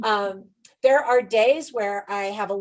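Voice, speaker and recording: Against a quiet background, a woman speaks at a moderate pace and medium pitch in an animated tone. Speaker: author and online instructor. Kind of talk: interview.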